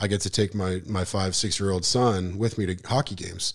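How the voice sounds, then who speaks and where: With a normal speaking voice and an American accent, a man talks at a fairly low pitch with fairly even intonation on a very clean recording with a silent background. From Montana, Missoula. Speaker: musician and marketer, transplant resident. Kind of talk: casual interview.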